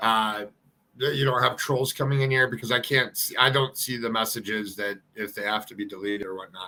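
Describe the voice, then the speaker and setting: Bright and sharp in tone, a man speaks with an Ohio accent. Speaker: YouTube live streamer. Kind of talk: casual live stream chat. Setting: home studio. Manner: halting, filler-heavy.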